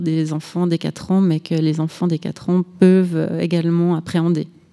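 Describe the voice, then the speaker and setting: A woman speaks at a fairly slow pace. Her intonation stays monotone and flat. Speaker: festival director. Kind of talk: radio interview. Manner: halting, repeats words.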